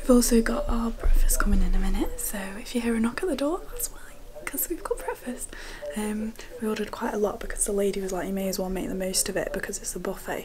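Amid noticeable background noise, a woman talks at a very fast pace. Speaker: vlogger. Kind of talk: casual vlog chat. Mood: cheerful. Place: home room. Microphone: phone near.

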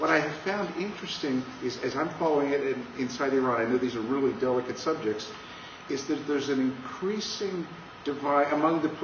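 Noticeable background noise is audible. A man talks with a fairly high pitch. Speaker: pastor and Iran specialist. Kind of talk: panel discussion. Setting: bookstore event with audience.

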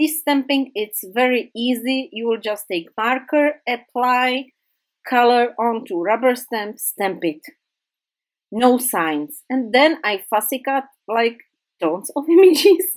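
A woman speaks very slowly in a high voice with a non-native accent. Her intonation is lively. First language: not English. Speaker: craft YouTuber. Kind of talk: tutorial. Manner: halting.

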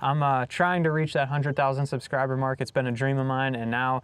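At a fairly quick pace, a man speaks with a dry sound that has no echo. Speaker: fishing channel host. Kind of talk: casual vlog chat. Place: boat.

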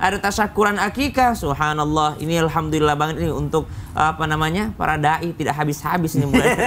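Here a man speaks with ordinary pitch variation. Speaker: Islamic preacher. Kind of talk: sermon.

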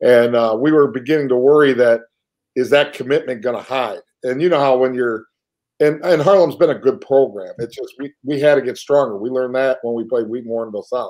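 A man at a fairly quick pace with ordinary pitch variation, against a quiet background. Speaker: high school football head coach. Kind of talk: interview answer. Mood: proud, enthusiastic. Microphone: video call.

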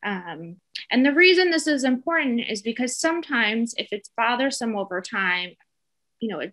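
Here a woman speaks with an American accent at a moderate pace. The background is quiet. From US Northeast, New Jersey. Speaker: dermatologist. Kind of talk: educational webinar lecture. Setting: video call webinar with screen share. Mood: calm, informative. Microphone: webcam.

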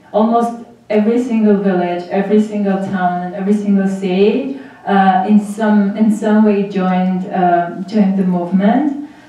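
Through strong room echo, a woman talks at a fairly slow pace with fairly even intonation. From Armenia, Vanadzor. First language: Armenian. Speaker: graduate student in public policy, former human rights worker. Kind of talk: panel presentation. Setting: auditorium with audience. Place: hall.

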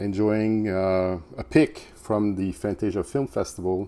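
With ordinary pitch variation, a man speaks at a very deep, low pitch. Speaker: movie collector vlogger. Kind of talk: casual vlog chat. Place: home room. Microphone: phone near.

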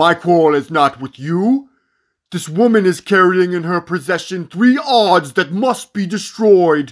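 A man's put-on character voice, high in pitch, at a moderate pace in a very clean recording with a silent background. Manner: menacing.

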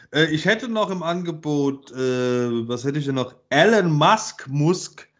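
Here a man speaks at a fairly slow pace with a fairly high pitch and lively intonation. The background is quiet. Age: 40s. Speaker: podcast co-host. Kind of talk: casual chat. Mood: joking, animated. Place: home room.

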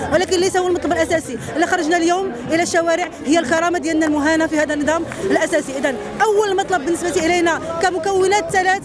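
A woman's very fast speech, dry with no echo, with crowd noise in the background. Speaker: protesting teacher. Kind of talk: interview answer. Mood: firm, indignant. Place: street. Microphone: handheld.

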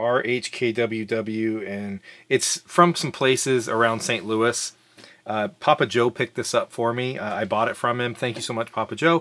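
A man talks at a fairly slow pace with ordinary pitch variation. His tone is bright and sharp. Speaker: whiskey reviewer. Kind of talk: casual review chat. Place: bar.

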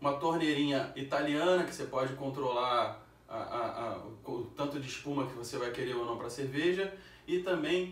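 A man speaks at a fairly slow pace with ordinary pitch variation. Audible room echo surrounds his voice. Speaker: beer channel host. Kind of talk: casual sponsor plug. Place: home room.

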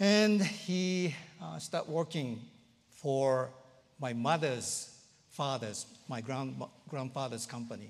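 A man speaks at a very slow pace with an Japanese accent, leaving long, frequent pauses. His pitch swings very widely. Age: 60s. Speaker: pastor. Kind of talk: sermon. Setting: church. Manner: halting, many fillers. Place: church. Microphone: lapel.

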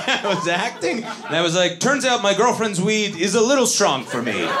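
A man delivers his words fairly quickly and with lively intonation, while noticeable background noise runs underneath. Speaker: stand-up comedian. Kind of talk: stand-up comedy set telling a personal story. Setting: stage with audience. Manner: animated, punchline-driven storytelling with a playful, self-mocking tone. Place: stage. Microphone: handheld.

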